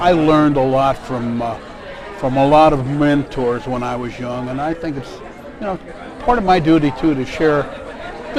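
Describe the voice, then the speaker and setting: Someone with an American accent talks at a fairly quick pace with ordinary pitch variation, with audible room echo and crowd noise in the background. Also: man. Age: 60s. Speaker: grants director. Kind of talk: interview. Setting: conference.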